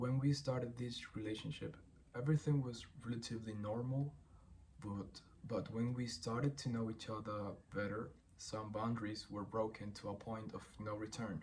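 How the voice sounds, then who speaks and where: A man with a Spanish accent speaks at a moderate pace and medium pitch. His voice is somewhat breathy, with fairly even intonation. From Chile. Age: 20s. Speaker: former boxer, singer and producer. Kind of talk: personal statement read aloud. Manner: reading from script.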